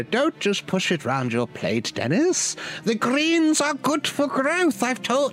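Someone does a put-on character voice at a fairly slow pace. Background noise is clearly present. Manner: nagging, motherly.

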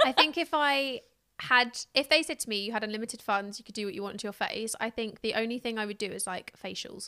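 A woman speaks at a very fast pace in a fairly high voice with ordinary pitch variation and big swings in loudness. Her tone is bright and sharp, and the sound is dry and close with no echo. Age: 30s. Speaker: podcast host and influencer. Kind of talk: casual chat. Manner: animated.

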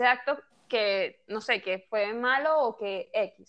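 A woman speaks with ordinary pitch variation. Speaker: podcast host. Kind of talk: casual chat.

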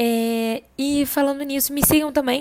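A woman speaks very slowly with fairly even intonation. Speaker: podcast host and writer. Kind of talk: casual monologue. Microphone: cheap earphone mic.

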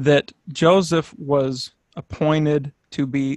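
A man with a normal speaking voice talks at fairly high pitch and with fairly even intonation. The sound is dry and close with no echo, in a very clean recording with a silent background. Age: 30s. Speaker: religious researcher and former music teacher. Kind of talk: podcast interview.

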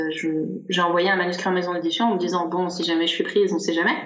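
At a very fast pace and medium pitch, a woman speaks amid audible room echo and noticeable background noise. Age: 30s. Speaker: self-published novelist. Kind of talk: casual interview chat.

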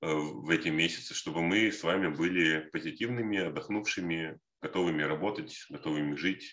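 At a moderate pace, a man with a very deep, low pitch and a bright, sharp tone speaks with ordinary pitch variation. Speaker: podcast co-host. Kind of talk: casual chat.

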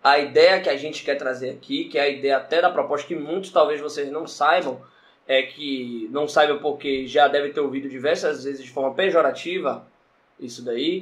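In a normal speaking voice, a man with a fairly high pitch talks at a moderate pace with fairly even intonation. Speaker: podcast co-host. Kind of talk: casual chat.

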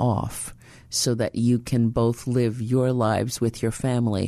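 At a fairly slow pace, a woman with a New York accent speaks in a very deep, low pitch and a dark, mellow tone against a quiet background. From New York City, the Bronx. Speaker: radio host. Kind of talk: radio interview.

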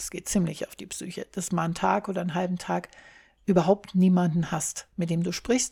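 The woman's voice is medium in pitch and somewhat breathy, dark and mellow in tone, and her pace is moderate. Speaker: solo podcaster. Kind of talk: casual monologue. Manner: less energetic than usual.

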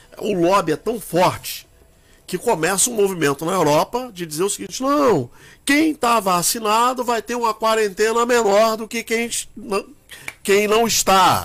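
High-pitched, a man talks at a fairly slow pace. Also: ordinary pitch variation. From Brazil, Minas Gerais. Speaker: radio host. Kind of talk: radio political debate.

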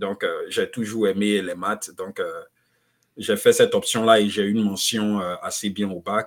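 A man speaks at a fairly slow pace with long, frequent pauses, in a very clean recording with a silent background. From Ivory Coast (Abidjan). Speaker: economist and author. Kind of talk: interview.

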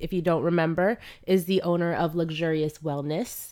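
A woman with an American accent, fairly low-pitched, in a dark, mellow tone with ordinary pitch variation. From Florida, US South (Ocala). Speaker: podcast co-host. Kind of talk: casual chat. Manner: animated.

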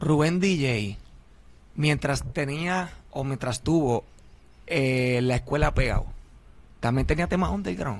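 Speaking at a very slow pace with long, frequent pauses, a man with a medium pitch uses lively intonation. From Philadelphia, Puerto Rican family. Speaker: podcaster and reggaeton figure. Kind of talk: casual interview.

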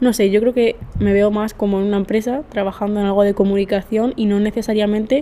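A woman speaks at a fairly quick pace in a medium-pitched voice with monotone, flat intonation. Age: 19. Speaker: journalism student. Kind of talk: casual chat. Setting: university classroom with echo. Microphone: echo, uneven distance to mic.

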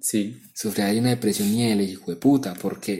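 With a dark, mellow tone and fairly low pitch, a man speaks at a moderate pace in a monotone, flat delivery. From Colombia, Urabá (Apartadó, Antioquia). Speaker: podcast co-host. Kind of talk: casual chat.

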